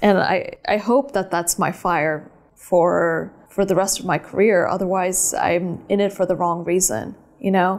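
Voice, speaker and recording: With an American accent, a woman speaks in an unremarkable speaking voice at medium pitch, fairly slow, with ordinary pitch variation and very even loudness. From California. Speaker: photographer and filmmaker. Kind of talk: interview.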